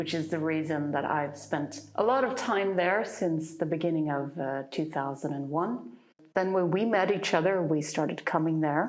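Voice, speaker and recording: A woman's very deep, low voice in an American accent, at a moderate pace with ordinary pitch variation and audible room echo. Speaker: YouTube channel co-host. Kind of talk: casual chat. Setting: filmed at home. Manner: halting.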